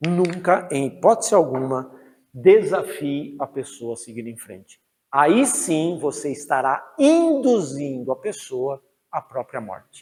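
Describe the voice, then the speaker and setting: Speaking very slowly, a man with a fairly high voice uses lively intonation and big swings in loudness. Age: 60s. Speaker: priest and lecturer. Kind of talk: lecture. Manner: animated.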